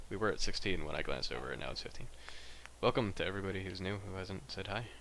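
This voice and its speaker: A man with an American accent mumbles at a very fast pace, his fairly low voice carrying vocal fry and ordinary pitch variation. Audible room echo surrounds him. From US South. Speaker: gaming streamer. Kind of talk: casual livestream commentary. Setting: livestream at home desk. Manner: mumbling; rambling.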